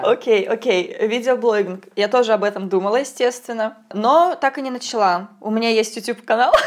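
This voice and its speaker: Amid noticeable background noise, a woman speaks at a fairly high pitch with ordinary pitch variation. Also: fairly quick pace. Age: 20s. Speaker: podcast host. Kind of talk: casual chat. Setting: kitchen.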